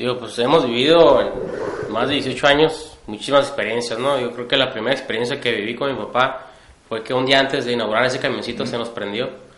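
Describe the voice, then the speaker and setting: A man with a northern Mexican accent talks at a fairly quick pace with hardly any pauses, medium pitch and fairly even intonation, amid audible room echo and noticeable background noise. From Tijuana, Mexico. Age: 30s. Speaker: entrepreneur, hot sauce maker. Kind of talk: interview.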